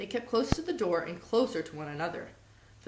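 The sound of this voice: Unforced voice for reading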